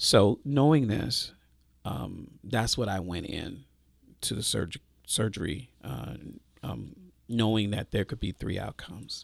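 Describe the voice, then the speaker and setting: Pitched fairly low, a man speaks at a fairly slow pace with lively intonation, vocal fry, and long, frequent pauses. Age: 50s. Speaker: pastor. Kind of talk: testimony.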